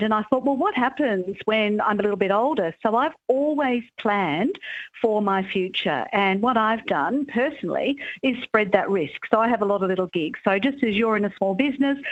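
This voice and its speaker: Lively in intonation, a woman with a fairly high pitch and an Australian accent speaks at a moderate pace. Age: 60s. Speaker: author and careers commentator. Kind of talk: radio interview.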